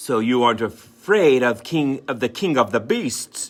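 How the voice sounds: A man puts on a growling character voice with lively intonation and medium pitch. He speaks at a moderate pace over music in the background.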